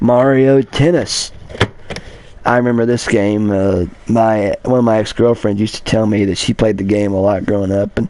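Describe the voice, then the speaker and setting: At a moderate pace, a man with an American accent speaks at a fairly low pitch with fairly even intonation. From Kentucky. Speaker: blind gamer YouTuber. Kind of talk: casual collection showcase livestream. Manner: halting, repetitive.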